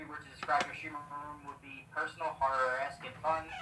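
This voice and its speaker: Noticeable background noise behind rather fast speech. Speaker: twitch streamer. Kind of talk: rapid-fire Q&A.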